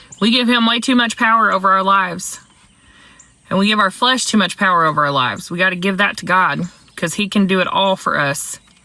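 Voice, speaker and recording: Words come at a fairly quick rate, with ordinary shifts in pitch. There is noticeable noise in the background. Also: woman, medium pitch for a woman. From US South. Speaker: livestream trivia host. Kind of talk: casual livestream Bible trivia. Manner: animated, chatty.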